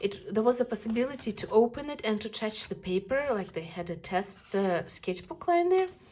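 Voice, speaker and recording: A woman with a non-native accent speaks at a moderate pace and a fairly high pitch, with very wide pitch swings. Noticeable background noise is present. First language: not English. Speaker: art youtuber. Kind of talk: casual video review of art supplies. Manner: animated.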